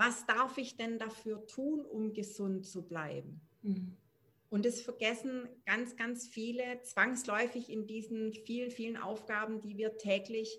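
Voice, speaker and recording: Very slow and fairly even in intonation, a woman speaks in a fairly high pitch with a bright, sharp tone. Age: 40s. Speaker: parenting coach. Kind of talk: casual interview.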